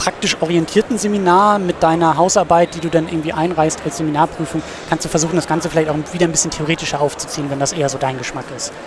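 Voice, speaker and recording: The speech comes at a very fast pace with fairly even intonation. Noticeable background noise sits behind it. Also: man. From northern Germany, Husum (Schleswig-Holstein). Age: 20s. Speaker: student and film podcaster. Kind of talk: interview.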